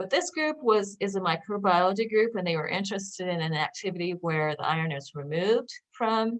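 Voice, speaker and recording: A woman talks at a fairly quick pace. Her pitch variation is ordinary. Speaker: research scientist presenting a seminar. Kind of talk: lecture. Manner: fast.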